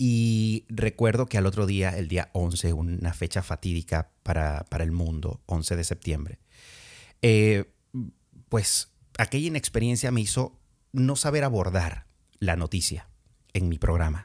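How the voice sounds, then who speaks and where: A man's very deep, low voice with lively intonation at a fairly slow pace, on a very clean recording with a silent background and a dry, close sound with no echo. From Venezuela, Andean region (Valera, Trujillo). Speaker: podcast host, former radio presenter. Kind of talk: casual monologue.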